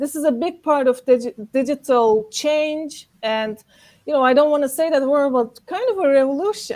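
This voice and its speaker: A high-pitched woman with a Turkish accent and ordinary pitch variation. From Turkey, Istanbul. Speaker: actor and event organizer. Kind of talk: panel discussion. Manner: many fillers like 'like'.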